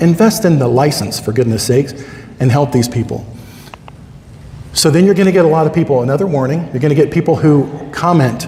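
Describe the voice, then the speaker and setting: A man with a fairly high voice talks at a fairly quick pace in an animated tone with lively intonation, yet with long, frequent pauses. The room echo is audible and there is noticeable background noise. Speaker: conference speaker, Medicare insurance agent. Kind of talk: conference talk. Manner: fast.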